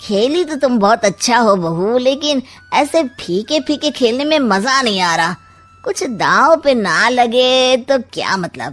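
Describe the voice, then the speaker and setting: Faint music plays in the background behind a cartoonish character voice. The delivery is fairly slow with lively intonation. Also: woman, high pitch for a woman. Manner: sly, teasing, sarcastic.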